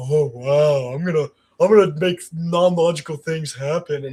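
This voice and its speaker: This man uses a put-on character voice, fairly high in pitch and delivered at a moderate pace. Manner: dumb, goofy.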